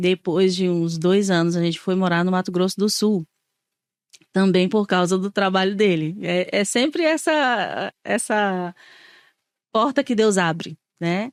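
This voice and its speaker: A woman speaks at medium pitch, fairly slowly, with long, frequent pauses and ordinary pitch variation. Her loudness stays very even, and the sound is dry and close with no echo. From Brazil, Ceará (Fortaleza). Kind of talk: casual interview, testimony. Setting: podcast studio table.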